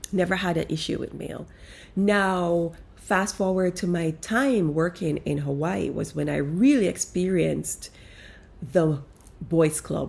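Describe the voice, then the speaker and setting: Speaking at a fairly slow pace with a non-native accent, a woman uses a fairly low pitch and ordinary pitch variation. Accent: foreign accent, kept. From outside the US, moved to America as young adult. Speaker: life coach. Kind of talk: casual monologue. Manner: animated.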